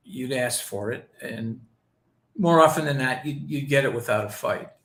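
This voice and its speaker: A man's fairly high voice at a moderate pace, ordinary pitch variation, audible room echo around it. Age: 60s. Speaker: investigative journalist and editor. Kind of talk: interview. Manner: halting, many fillers and repeats.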